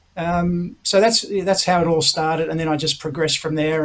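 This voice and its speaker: A man with an Australian accent, high in pitch and fairly quick in pace, amid noticeable background noise. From Australia, Melbourne. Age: 60s. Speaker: retired tenpin bowler. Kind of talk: interview.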